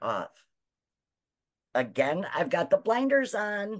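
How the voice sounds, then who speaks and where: Vocal fry and an animated tone at a fairly slow pace. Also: woman, dry, close sound with no echo. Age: 60s. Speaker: online business owner. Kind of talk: testimony.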